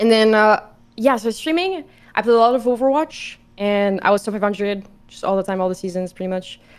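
In a Quebec accent, a woman talks at a fairly quick pace. Her pitch is fairly high, with ordinary variation. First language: French. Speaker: streamer. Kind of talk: casual chat. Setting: video call. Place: home room. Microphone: video call.

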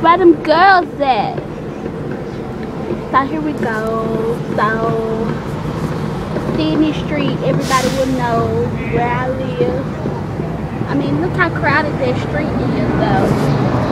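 The speech is very slow, with long, frequent pauses and a dry sound with no echo, set against loud background noise. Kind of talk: casual vlog chat. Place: car. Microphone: phone near.

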